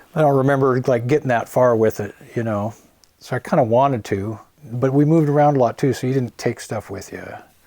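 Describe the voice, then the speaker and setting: Talking fairly quickly in an American accent, a man has a dark, mellow tone, medium pitch, and ordinary pitch variation. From US Pacific Northwest, Portland, Oregon. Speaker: musician. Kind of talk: interview. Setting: home. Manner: casual, filler-heavy.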